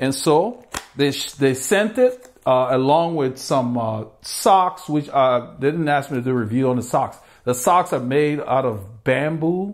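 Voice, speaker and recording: A man's fairly slow speech, with ordinary pitch variation, comes over a quiet background. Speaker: cycling channel host. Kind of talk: product review talk. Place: home room.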